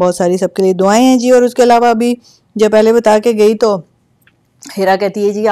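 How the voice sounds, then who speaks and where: A woman's fairly high pitch at a moderate pace, with a dark, mellow tone and ordinary pitch variation. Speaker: show host. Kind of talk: live show chat.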